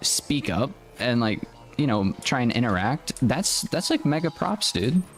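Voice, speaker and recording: The speaker has an American accent and talks at a fairly slow pace with very wide pitch swings. Loudness stays very even, with music playing in the background. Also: man, medium pitch for a man. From United States. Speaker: gaming streamer. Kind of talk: live stream gaming chat. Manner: casual, rambling with fillers.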